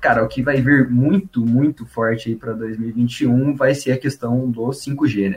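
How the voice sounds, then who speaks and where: A man's medium-pitched, somewhat breathy voice, fairly slow with hardly any pauses and fairly even intonation. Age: 20s. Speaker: founder of a tech education page. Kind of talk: casual chat. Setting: studio.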